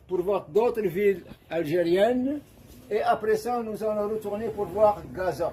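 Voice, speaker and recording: A man's high-pitched voice at a fairly slow pace, with ordinary pitch variation and noticeable background noise. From Algeria. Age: 80s+. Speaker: video blogger. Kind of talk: casual monologue. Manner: animated.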